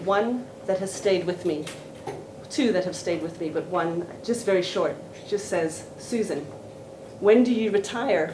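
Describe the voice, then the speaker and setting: A woman at medium pitch, fairly slow with long, frequent pauses and ordinary pitch variation, amid audible room echo and noticeable background noise. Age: 60s. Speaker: professor and seminar speaker. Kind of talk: academic seminar talk.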